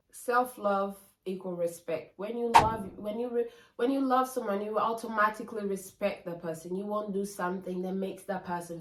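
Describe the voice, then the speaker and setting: Noticeable background noise behind a moderately paced female voice of medium pitch and ordinary pitch variation. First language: not English. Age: 20s. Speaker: lifestyle vlogger. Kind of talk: casual vlog monologue. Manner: animated.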